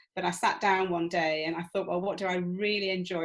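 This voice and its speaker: A woman speaks in a northern English accent. Her fairly low voice stays monotone and flat. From England. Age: 60s. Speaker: retired manager turned PhD student. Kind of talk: interview. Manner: hesitant with fillers.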